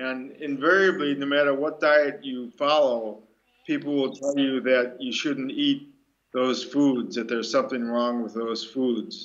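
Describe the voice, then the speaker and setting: With an American accent, a man delivers his words at a fairly slow pace in an ordinary speaking voice. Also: medium pitch for a man, fairly even intonation. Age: 60s. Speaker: breatharian speaker. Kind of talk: Q&A talk.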